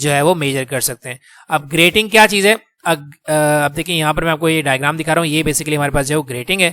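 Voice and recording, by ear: Fairly quick and fairly high-pitched, a man speaks in a bright, sharp tone with fairly even intonation.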